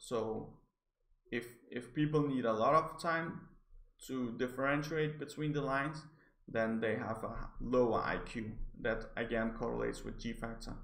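Speaking with a Danish accent, a man uses a medium pitch with ordinary variation at a moderate pace. Long pauses come often. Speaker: psychology graduate reviewing articles. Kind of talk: educational video review. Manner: stammering, hesitant.

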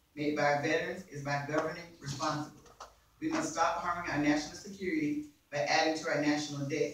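A man's fairly high voice at a very fast pace, monotone and flat, with strong room echo and light background noise. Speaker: forum moderator reading questions. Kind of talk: reading questions aloud. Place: meeting room. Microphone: camera far.

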